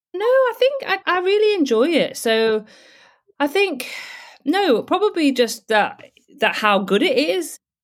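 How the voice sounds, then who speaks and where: A woman with a British accent speaks at a high pitch and a fairly slow pace, with very wide pitch swings and long, frequent pauses. Her loudness stays very even on a very clean recording with a silent background. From UK. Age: 50s. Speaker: travel blogger and house sitter. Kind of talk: casual interview. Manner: hesitant with fillers and repetitions.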